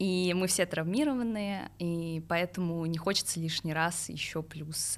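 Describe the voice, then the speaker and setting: The speaker is a woman with a fairly low pitch. Her intonation is fairly even. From Moscow region, Russia. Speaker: journalist. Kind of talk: personal testimony interview. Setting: studio. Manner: hesitant, many fillers.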